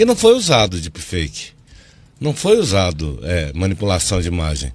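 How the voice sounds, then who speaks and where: A man speaks over noticeable background noise. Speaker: political communication consultant. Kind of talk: TV news interview. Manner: loud; animated.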